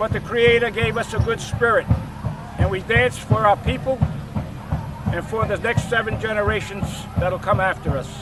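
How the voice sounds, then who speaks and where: A man with an American accent at a high pitch, fairly even intonation, long, frequent pauses and music in the background. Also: moderate pace. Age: 70s. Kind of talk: personal testimony and oral history. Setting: outdoors at a powwow.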